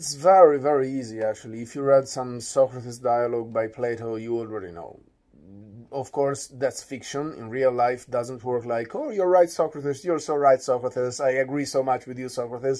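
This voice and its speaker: A man with an Italian accent talks at a moderate pace and medium pitch with ordinary pitch variation. His tone is dark and mellow, with big swings in loudness. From Italy. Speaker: philosopher. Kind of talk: radio interview. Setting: studio.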